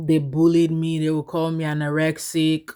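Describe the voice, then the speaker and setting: A woman with an American accent has a very deep, low pitch. Her tone is dark and mellow, at a moderate pace. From Nigeria. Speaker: vlogger. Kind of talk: casual storytelling vlog.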